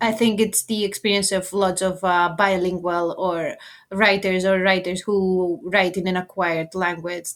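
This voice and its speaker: In a Greek accent, a woman with medium pitch speaks at a fairly slow pace on a very clean recording with a silent background. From Greece. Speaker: author. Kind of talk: interview.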